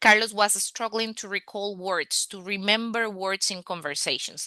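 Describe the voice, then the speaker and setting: In a Spanish accent, a voice with a bright, sharp tone moves at a moderate pace with ordinary pitch variation, the sound dry and close with no echo. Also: woman. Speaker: language coach. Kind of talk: online masterclass. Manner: hesitant with fillers.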